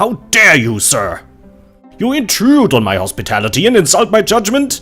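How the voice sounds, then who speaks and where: A put-on character voice speaks at a moderate pace. Faint music plays in the background. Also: man, high pitch for a man. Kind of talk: formal, archaic. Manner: indignant, haughty, commanding.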